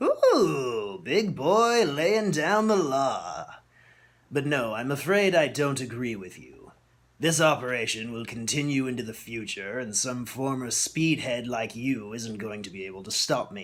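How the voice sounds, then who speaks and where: A man uses a put-on character voice, raspy and medium in pitch, at a fairly slow pace. His pitch swings very widely and his loudness swings a lot. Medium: read story. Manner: erratic pitch, mocking showman.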